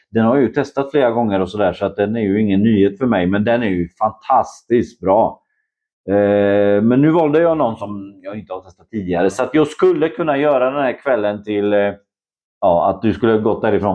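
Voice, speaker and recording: Here a man speaks at a moderate pace with a fairly low pitch and ordinary pitch variation. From Poland, Szczecin. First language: Polish (speaking Swedish). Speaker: homebrewer and photographer. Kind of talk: casual chat. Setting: at his home.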